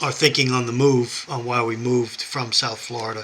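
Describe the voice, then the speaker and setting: A man's medium-pitched voice with a New York accent, fairly slow in pace, amid noticeable background noise. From New York, Westchester County. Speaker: YouTuber, prepping and Bible channel. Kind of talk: personal vlog monologue. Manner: halting.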